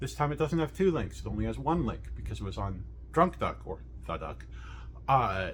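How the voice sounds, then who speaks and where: Vocal fry colors a voice whose pitch swings very widely, with audible room echo. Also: man. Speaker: webcomic artist and video creator. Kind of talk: casual unscripted voiceover. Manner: halting, stumbling over words; informal and rambling.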